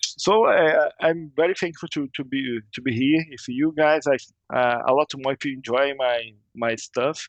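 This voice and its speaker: This man speaks at a fairly slow pace with a Portuguese accent and a fairly high pitch. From Brazil, Rio de Janeiro. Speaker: game modder. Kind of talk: casual interview. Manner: halting, repeating words.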